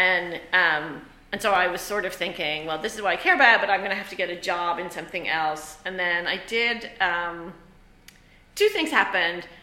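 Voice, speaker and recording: Noticeable background noise sits behind a woman with a fairly low pitch. She keeps a moderate pace and fairly even intonation. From Ireland. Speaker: theatre professor and lighting designer. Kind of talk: interview on a student podcast. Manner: casual, conversational with fillers.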